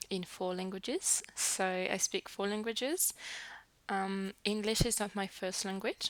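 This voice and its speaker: A woman speaks at a fairly slow pace in a French accent. The recording is very clean, with a silent background. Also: medium pitch for a woman, fairly even intonation. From New Caledonia. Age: 20s. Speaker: early childhood educator. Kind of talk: casual vlog introduction. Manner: hesitant, with fillers.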